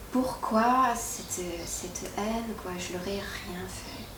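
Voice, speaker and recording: A woman with a fairly high voice talks in a room with audible echo and noticeable background noise. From Quebec. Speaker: YouTuber. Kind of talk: interview. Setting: at her home. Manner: hesitant, many fillers and repetitions.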